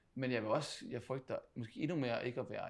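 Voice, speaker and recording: At a moderate pace, a man talks with vocal fry. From Denmark, Funen (Odense). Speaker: professional footballer, team captain. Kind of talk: interview conversation. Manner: halting, many repetitions.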